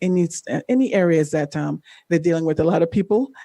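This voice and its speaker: The voice has a dark, mellow tone and moves at a very fast pace. The recording is very clean, with a silent background. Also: woman. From Jamaica, then Canada from age 12. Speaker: former Olympian and life coach. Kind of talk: podcast interview, testimony. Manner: halting, many fillers.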